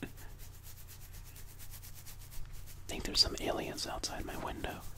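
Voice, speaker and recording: A soft-spoken man whispering at a moderate pace over loud background noise. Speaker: ASMR creator. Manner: soft close-mic ASMR whisper. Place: home room. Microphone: studio mic.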